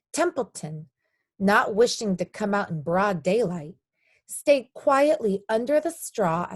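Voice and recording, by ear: Reading aloud in a natural voice, with lively intonation and a quiet background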